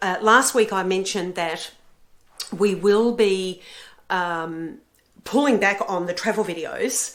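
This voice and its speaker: At a very slow pace with long, frequent pauses, a woman with an Australian accent speaks at medium pitch with ordinary pitch variation. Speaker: book and travel vlogger. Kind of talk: casual vlog talk. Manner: hesitant with fillers.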